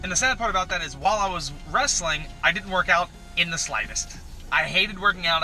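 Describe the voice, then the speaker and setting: A man talks loudly at a very fast pace, with music in the background. His pitch varies in an ordinary way. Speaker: electrician and powerlifting YouTuber. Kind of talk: casual chat. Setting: in a car.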